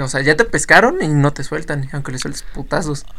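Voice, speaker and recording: The pace is moderate. A man speaks at a fairly high pitch. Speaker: podcast host. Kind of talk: casual chat.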